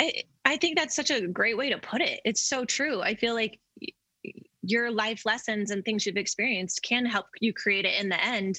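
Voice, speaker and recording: Here is a woman with an unremarkable speaking voice, talking at a moderate pace. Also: fairly high pitch for a woman, ordinary pitch variation. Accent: American. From Colorado (Denver). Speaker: artist. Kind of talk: casual chat.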